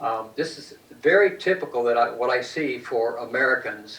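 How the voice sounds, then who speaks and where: A man speaks at a medium pitch with ordinary pitch variation, with audible room echo and noticeable background noise. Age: 70s. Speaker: lecturer on peptides. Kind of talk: lecture. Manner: halting.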